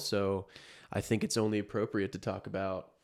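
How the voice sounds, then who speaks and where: A man's fairly low voice at a moderate pace, a normal speaking voice, on a very clean recording with a silent background. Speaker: podcast co-host. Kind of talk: casual chat.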